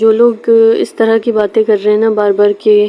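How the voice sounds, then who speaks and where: Her voice is fairly high, and the woman's intonation is monotone and flat. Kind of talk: casual talk to camera, personal message. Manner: stammering.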